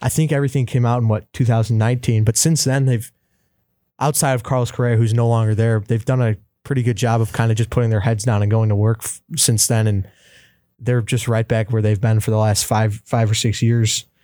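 Against a silent background in a very clean recording, a man with a dark, mellow tone talks fairly quickly at medium pitch. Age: 20s. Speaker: college sports podcast co-host. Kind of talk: casual chat.

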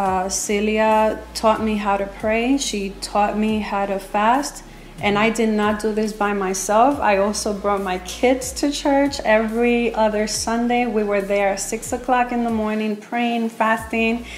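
A woman's fairly slow, fairly high-pitched speech in an American accent, with fairly even intonation, audible room echo and noticeable background noise. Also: hardly any pauses. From New York City (Brooklyn). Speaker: pastor's wife, youth pastor. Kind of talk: personal testimony.

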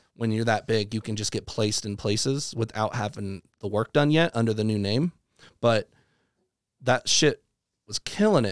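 An American-accented man speaks at medium pitch and a moderate pace, with ordinary pitch variation. The sound is dry and close, with no echo. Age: 30s. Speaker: electronic music producer and DJ. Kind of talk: casual chat.

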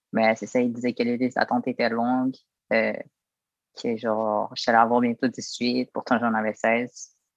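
A flat, monotone delivery in a Quebec accent, spoken at a fairly slow pace. The sound is dry and close, with no echo. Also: man, medium pitch for a man. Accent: Québécois French. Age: 20s. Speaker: former youth protection resident. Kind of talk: interview testimony.

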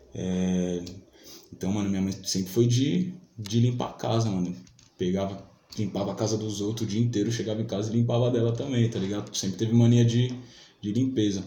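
A somewhat breathy man's voice, fairly low in pitch with a dark, mellow tone, at a fairly quick pace with ordinary pitch variation and audible room echo. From Brazil, São Paulo south zone (Vila Saúde). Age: 20s. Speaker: rapper and beatmaker. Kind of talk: casual chat.

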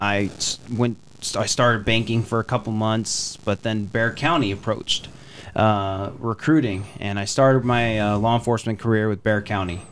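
A man with an American accent speaks in an ordinary speaking voice at a fairly low pitch. His intonation is fairly even and his pace moderate. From Texas. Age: 20s. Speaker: political candidate. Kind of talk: interview. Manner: formal.

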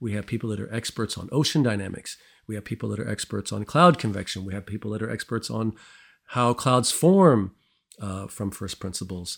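A man's fairly low pitch with vocal fry, ordinary pitch variation and a fairly quick pace in an American accent, on a very clean recording with a silent background. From US Midwest, St. Louis, Missouri. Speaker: planetary scientist. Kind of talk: interview. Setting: studio.

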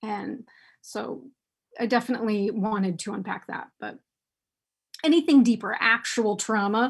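A woman with an American accent, fairly high-pitched and somewhat breathy, with ordinary pitch variation, big swings in loudness, and long, frequent pauses, on a very clean recording with a silent background. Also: moderate pace. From United States. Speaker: sex and relationship advice writer. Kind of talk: interview conversation. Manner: heavy sighs.

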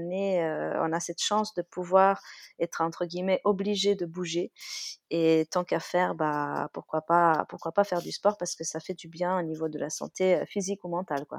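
A woman speaks at a fairly slow pace in a fairly low, flat monotone, recorded dry and close with no echo against a quiet background. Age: 30s. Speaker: dog-owning mother, guest. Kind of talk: casual chat.

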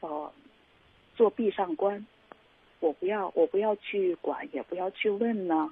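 This woman speaks at a medium pitch. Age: 40s. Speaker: caller seeking relationship advice. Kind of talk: call-in advice conversation. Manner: halting, many fillers.

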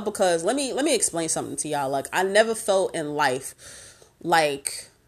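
A woman's fairly low voice sounds out in a very clean recording against a silent background. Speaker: podcast host. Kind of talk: casual, slangy, profane. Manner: fast talker.

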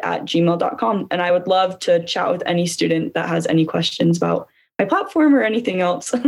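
Here a woman speaks in a Utah accent. Her pace is moderate and her intonation lively. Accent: Utah American English. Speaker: student government candidate. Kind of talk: interview.

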